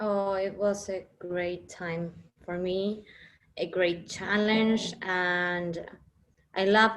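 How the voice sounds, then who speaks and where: Speaking in a Spanish accent, a woman keeps a medium pitch and a monotone, flat intonation. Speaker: actress. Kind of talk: interview. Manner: halting.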